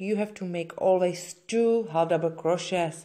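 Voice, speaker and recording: A woman speaks in a Czech accent with a dark, mellow tone. Her intonation is lively, her pace very slow. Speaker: crochet instructor. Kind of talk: tutorial. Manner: halting.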